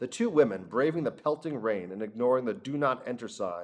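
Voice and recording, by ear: With lively intonation, a speaker is reading aloud in a natural voice.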